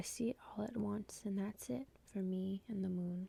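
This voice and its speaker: At a moderate pace, the speaker talks in a soft-spoken way. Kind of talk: ASMR poetry reading.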